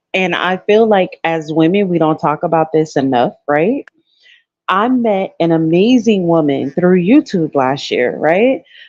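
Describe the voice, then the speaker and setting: Lively intonation runs through speech at a fairly slow pace. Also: woman, fairly low pitch for a woman. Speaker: caller. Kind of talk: casual chat. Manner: loud.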